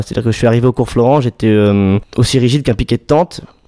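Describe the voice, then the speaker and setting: Very fast speech comes from a man with a dark, mellow tone. His pitch sits at a medium level and varies in an ordinary way. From Paris region, France. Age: 20s. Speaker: musical theatre student. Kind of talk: interview.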